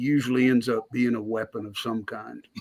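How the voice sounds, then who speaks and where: A moderate pace carries the words along. They come in a Southern US accent. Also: man. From US South. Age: 60s. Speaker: blacksmith and army veteran. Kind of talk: casual chat.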